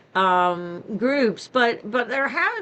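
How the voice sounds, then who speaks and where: A woman's pitch swings very widely as noticeable background noise carries on behind her. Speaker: invited speaker, radio operator. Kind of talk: talk with Q&A. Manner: conversational, with fillers.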